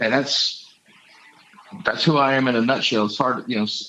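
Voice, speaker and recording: A man's voice sits at a medium pitch amid noticeable background noise. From Texas. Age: 60s. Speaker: congressional candidate. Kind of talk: interview. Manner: halting, with many fillers and repeats.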